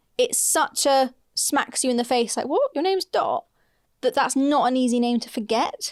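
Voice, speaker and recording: In a British accent, a woman speaks at a high pitch with ordinary pitch variation and very even loudness, the sound dry and close with no echo. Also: moderate pace. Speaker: podcast co-host and DIY renovation content creator. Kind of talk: casual chat.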